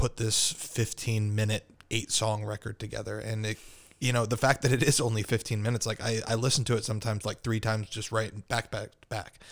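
A man with an ordinary speaking voice, fairly low in pitch, talks at a fairly quick pace on a very clean recording with a silent background. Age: 30s. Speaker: music podcast co-host. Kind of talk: casual chat.

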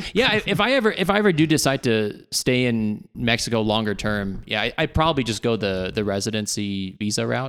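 A man with an American accent talks in a plain, everyday voice at a fairly quick pace, with ordinary pitch variation and hardly any pauses. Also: medium pitch for a man, very clean recording, silent background. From Texas, Dallas. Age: 30s. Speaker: software developer. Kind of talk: casual chat.

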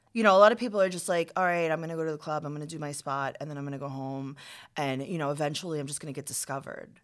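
Speech races along at a very fast pace in a New York accent, with ordinary pitch variation. Loudness swings widely, and the recording is very clean with a silent background. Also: woman, very deep, low pitch for a woman. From New York, Queens. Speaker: stand-up comedian and podcast host. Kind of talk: casual chat. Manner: projecting; animated.

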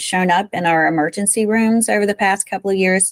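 A woman with an American accent and a plain, everyday voice, medium in pitch, fairly quick in pace, with fairly even intonation on a very clean recording against a silent background. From West Virginia. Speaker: children's advocacy nonprofit director. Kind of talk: interview.

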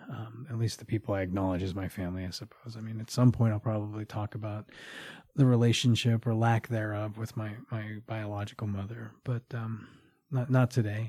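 On a very clean recording with a silent background, a man speaks in a medium pitch, his tone dark, mellow and somewhat breathy, his intonation monotone and flat. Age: 40s. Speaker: podcast host in addiction recovery. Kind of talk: solo podcast monologue. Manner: halting, many fillers and repeated words.

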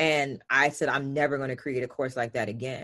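A woman with a Southern US accent and a very deep, low pitch talks fairly quickly with fairly even intonation. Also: quiet background. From US South. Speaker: personal finance entrepreneur. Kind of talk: interview.

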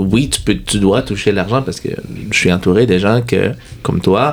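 A man speaks at a fairly slow pace with a fairly low pitch and ordinary pitch variation. Noticeable background noise sits behind him. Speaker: podcast host. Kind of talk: interview.

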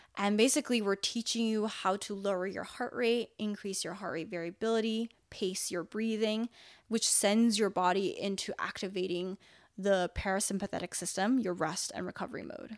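In a very clean recording with a silent background, a woman speaks at a moderate pace. She has a normal speaking voice, a medium pitch and fairly even intonation. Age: 20s. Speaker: startup founder. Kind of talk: casual chat.

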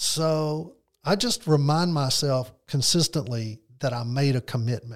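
In a very clean recording with a silent background, a man with a normal speaking voice talks at a fairly slow pace, his fairly high pitch showing ordinary variation. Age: 60s. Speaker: financial advisor. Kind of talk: casual chat.

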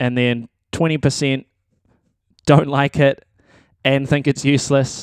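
A man with a New Zealand accent, fairly high-pitched and monotone, at a fairly slow pace with long, frequent pauses, in a dry, close sound with no echo. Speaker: musician and podcast host. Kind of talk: solo monologue podcast. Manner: casual, hesitant with many ums and repeats.

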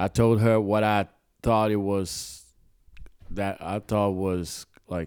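In a Brazilian accent, a man speaks at a very slow pace with a fairly low pitch and fairly even intonation, in a very clean recording with a silent background. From Sao Paulo, Brazil. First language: Portuguese. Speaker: pro skater and rapper. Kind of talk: casual interview chat. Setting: studio.

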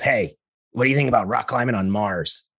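Using a put-on character voice that is nasal, a man talks at a fairly quick pace with a medium pitch and ordinary pitch variation.

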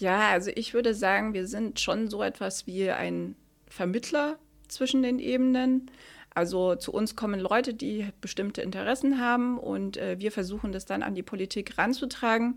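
A woman with a plain, everyday voice talks at a moderate pace in a fairly high pitch with ordinary pitch variation, on a very clean recording with a silent background. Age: 30s. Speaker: climate activist. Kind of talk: interview. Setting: office rooms.

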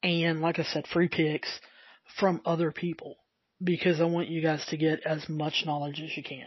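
A woman's fairly low voice in a Southern US accent. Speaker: sports betting podcaster. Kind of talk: podcast monologue with betting picks. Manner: somewhat halting, with fillers.

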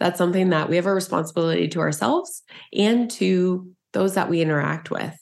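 A woman has an unremarkable speaking voice, fairly low in pitch. She talks at a moderate pace with ordinary pitch variation. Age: 40s. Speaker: podcast host. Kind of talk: interview conversation.

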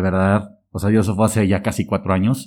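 A man with a Mexican accent speaks at a moderate pace in a dark, mellow tone. The recording is very clean, with a silent background. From Mexico. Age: 30s. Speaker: social entrepreneur, company co-founder. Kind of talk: interview. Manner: halting.

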